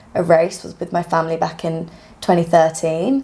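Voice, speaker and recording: A woman with a British accent, fairly low in pitch, at a moderate pace. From UK. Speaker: physiotherapist and runner. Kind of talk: casual podcast interview. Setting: podcast recording.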